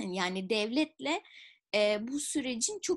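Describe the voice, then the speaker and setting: A somewhat breathy woman's voice with very wide pitch swings, over a quiet background. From Turkey, Izmir; Turkey. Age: 30s. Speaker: public policy researcher and entrepreneur; interviewee. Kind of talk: interview. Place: home room. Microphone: webcam.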